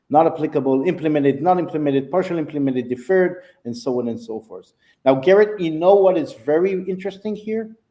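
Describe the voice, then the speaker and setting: In a non-native accent, a man talks at a very fast pace with a fairly high pitch. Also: lively intonation. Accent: foreign accent, noticeable. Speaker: software sales executive. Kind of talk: product demo. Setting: live video stream.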